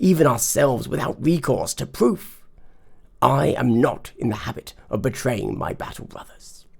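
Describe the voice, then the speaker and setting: In a put-on character voice, a man talks at a moderate pace with a medium pitch and big swings in loudness. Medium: read story. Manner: tense, guarded.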